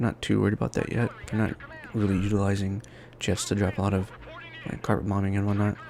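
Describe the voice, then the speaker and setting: A man with a fairly low pitch against noticeable background noise. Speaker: gaming YouTuber. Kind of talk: gameplay commentary. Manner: fast; casual, with fillers and restarts.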